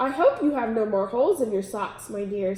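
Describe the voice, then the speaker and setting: A woman puts on a character voice, fairly high-pitched and at a fairly quick pace. There's slight echo and light background noise. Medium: read story. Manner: prim, regal.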